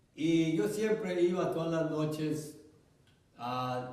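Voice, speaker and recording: Through audible room echo, a man speaks in a fairly high voice with ordinary pitch variation. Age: 80s+. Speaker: pastor. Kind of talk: sermon.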